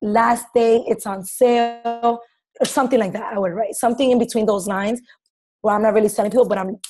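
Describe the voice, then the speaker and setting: With music playing in the background, a woman speaks fairly quickly at a fairly high pitch. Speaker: fitness coach presenting social media tips. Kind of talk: team call presentation. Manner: loud; animated.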